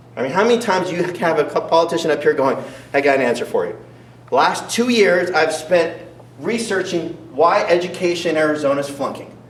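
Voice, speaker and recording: Over noticeable background noise and audible room echo, a man talks very fast in a high voice with ordinary pitch variation. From US, moved between states (North Carolina, Montana). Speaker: political candidate. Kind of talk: campaign debate speech. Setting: school event with audience. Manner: animated, rhetorical.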